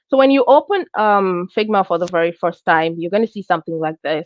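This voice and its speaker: A woman at medium pitch with lively intonation and a fairly quick pace. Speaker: UI design instructor. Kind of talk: live online class tutorial. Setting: live streamed class with chat. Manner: hesitant, many fillers.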